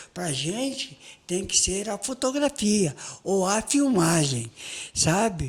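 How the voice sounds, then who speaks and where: Over noticeable background noise, a man with a high voice talks very slowly, his pitch swinging very widely. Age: 70s. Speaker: photojournalist. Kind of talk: casual interview chat. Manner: animated.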